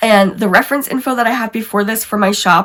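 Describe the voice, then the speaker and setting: A woman talks fairly quickly, her voice somewhat breathy. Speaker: planner content creator. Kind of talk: tutorial.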